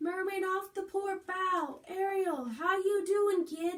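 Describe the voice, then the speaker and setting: Squeaky and extremely high, a put-on character voice moves at a fairly slow pace. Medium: read story. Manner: confident.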